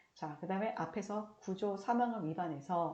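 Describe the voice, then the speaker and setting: A somewhat breathy woman's voice, dark and mellow in tone, with lively intonation and audible room echo. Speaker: lecturer on railway safety law. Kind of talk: recorded online lecture. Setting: recorded video lecture. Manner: trying to speak slowly and clearly.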